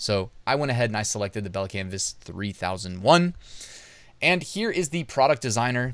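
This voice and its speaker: Lively intonation comes at a moderate pace in a dry recording with no echo. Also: man. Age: 30s. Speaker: YouTube educator on print on demand; online business educator. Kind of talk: tutorial and product review. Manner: casual, conversational.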